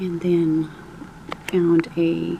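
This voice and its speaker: A woman speaks over noticeable background noise. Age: 60s. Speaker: crafter showing a dollhouse. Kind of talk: show-and-tell tour. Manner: casual, with hesitations.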